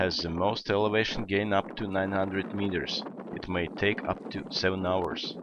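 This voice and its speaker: Here a man talks in a very deep, low pitch at a moderate pace. There is noticeable background noise. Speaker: travel vlogger and hiking guide. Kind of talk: travel vlog narration.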